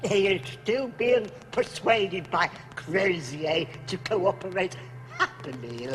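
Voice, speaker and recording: A man uses a put-on character voice with a high pitch. He speaks at a fairly slow pace over clear background noise. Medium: short film. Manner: oily, obsequious.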